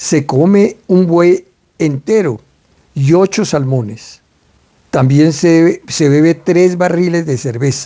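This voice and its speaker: A man speaks very slowly at a high pitch. His pitch varies in an ordinary way. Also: very even loudness. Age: 80s+. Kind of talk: book reading aloud.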